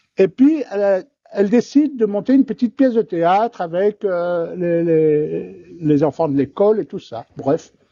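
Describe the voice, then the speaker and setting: A man's high-pitched voice at a fairly slow pace, with lively intonation. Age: 60s. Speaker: actor. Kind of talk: interview, personal storytelling. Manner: hesitant, many fillers and repetitions; lively, animated.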